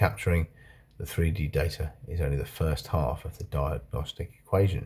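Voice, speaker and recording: With vocal fry, a man speaks at a moderate pace in a very deep, low voice. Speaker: video blogger. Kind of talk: reading aloud. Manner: slurred.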